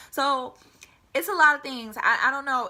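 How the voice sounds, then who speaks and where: A woman speaks with an American accent. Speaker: air force member and vlogger. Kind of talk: casual vlog advice talk. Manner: fast.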